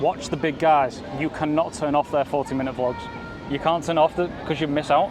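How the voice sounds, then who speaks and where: Music plays in the background as the speaker goes at a fairly quick pace with fairly even intonation. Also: man, fairly high pitch for a man. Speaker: podcast host, travel vlogger. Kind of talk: podcast interview, casual talk.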